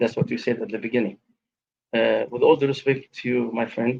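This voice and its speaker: A man speaks with an Arabic accent. His pace is very fast. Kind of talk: live debate.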